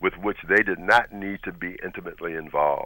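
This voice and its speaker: Bright, sharp tone from a man at fairly low pitch, with ordinary pitch variation and a moderate pace, on a very clean recording over a silent background. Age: 60s. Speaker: pastor. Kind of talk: radio panel discussion.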